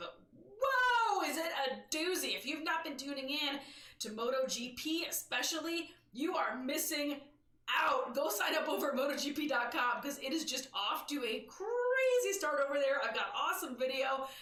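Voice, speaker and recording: With audible room echo, a woman projects a raised, high-pitched voice in a bright, sharp, animated tone with very wide pitch swings. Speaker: motorcycle news show host. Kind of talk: live stream news show. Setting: live stream. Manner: loud.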